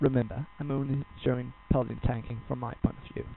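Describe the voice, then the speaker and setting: At a fairly quick pace, a man speaks with a Danish accent. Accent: non-native English, Danish. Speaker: gaming guide creator. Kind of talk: tutorial. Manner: halting.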